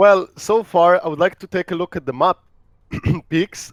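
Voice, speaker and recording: In a dry, close sound with no echo, a man with a Russian accent speaks at a high pitch with fairly even intonation. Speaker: esports caster. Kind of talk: live commentary.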